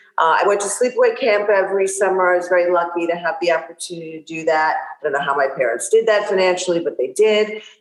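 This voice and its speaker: The talking runs at a very fast pace with hardly any pauses. Noticeable background noise sits behind it. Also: woman, medium pitch for a woman, ordinary pitch variation. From New York, Long Island. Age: 60s. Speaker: fitness influencer and boxer. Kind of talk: podcast interview. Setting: podcast interview.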